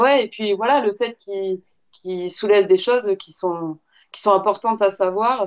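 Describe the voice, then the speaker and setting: Her pitch sits in the middle range with ordinary variation as this woman speaks at a fairly slow pace. Her loudness swings widely. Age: 30s. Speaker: fitness coach. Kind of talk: interview. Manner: hesitant, many fillers.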